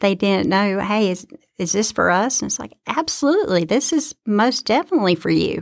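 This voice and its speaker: At a moderate pace, a woman with a Southern US accent talks at a medium pitch, her intonation lively and touched by vocal fry. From Georgia, US South. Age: 40s. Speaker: student trustee and nursing student, Air Force veteran. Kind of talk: casual interview. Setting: studio.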